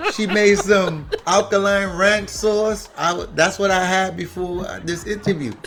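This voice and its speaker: Amid noticeable background noise and audible room echo, a man speaks at a high pitch and a fairly slow pace in a monotone, flat intonation with hardly any pauses. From Brooklyn, New York, Honduran Garifuna family. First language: Garifuna. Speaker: author and herbal health advocate. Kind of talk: casual interview chat.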